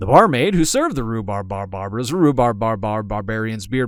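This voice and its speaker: A man with a plain, everyday voice, lively in intonation and at a fairly quick pace, on a very clean recording with a silent background. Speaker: voice actor. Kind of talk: read story. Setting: studio. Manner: fast.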